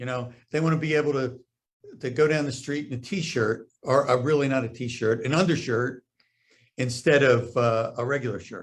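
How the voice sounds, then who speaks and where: A man speaks at a moderate pace and a medium pitch. His voice is somewhat breathy, with fairly even intonation. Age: 70s. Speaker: doctor. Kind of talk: interview. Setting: Facebook live stream. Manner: hesitant, many fillers.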